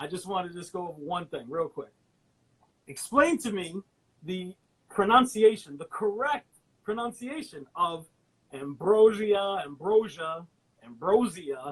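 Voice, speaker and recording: A high-pitched man at a fairly slow pace, with very wide pitch swings, big swings in loudness and long, frequent pauses. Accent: slight New York. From New York. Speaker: podcast host. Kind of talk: interview.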